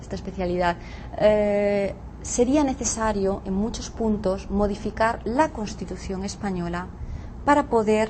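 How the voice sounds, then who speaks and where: Fairly slow speech from a woman at a medium pitch. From Catalonia, Spain. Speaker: law professor. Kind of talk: interview. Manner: halting.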